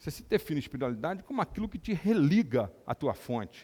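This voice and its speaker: A man's voice swings very widely in pitch, captured on a very clean recording against a silent background. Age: 60s. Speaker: neurosurgeon and lecturer. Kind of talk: lecture.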